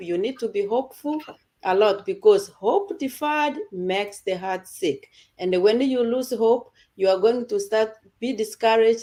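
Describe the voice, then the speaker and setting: A woman with a dark, mellow tone speaks at a moderate pace, her fairly high pitch showing ordinary variation. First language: not English. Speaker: online community presenter. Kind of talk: casual group talk.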